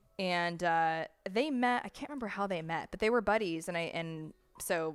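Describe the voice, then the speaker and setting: On a very clean recording with a silent background, a woman with an American accent sounds animated, using lively intonation at a moderate pace. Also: fairly low pitch for a woman. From United States. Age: 20s. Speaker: podcast host. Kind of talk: casual chat.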